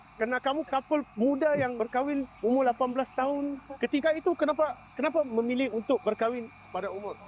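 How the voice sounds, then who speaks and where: With a Malaysian accent and an extremely high pitch, a man talks at a very fast pace with ordinary pitch variation, sounding dry and close with no echo over noticeable background noise. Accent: Malaysian Malay accent speaking Indonesian. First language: Malay (speaking Indonesian). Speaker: content creator giving gifts. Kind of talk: casual street interview. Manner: warm, gentle.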